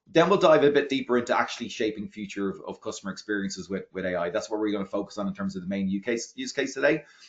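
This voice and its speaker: An Irish-accented man talks at a very fast pace with hardly any pauses. His fairly low pitch moves in a lively way. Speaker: product marketing executive. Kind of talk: webinar presentation. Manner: halting.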